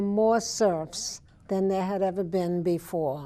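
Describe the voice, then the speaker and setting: A dark, mellow tone carries fairly even intonation at a very slow pace against a quiet background. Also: woman. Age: 70s. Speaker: author. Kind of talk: interview.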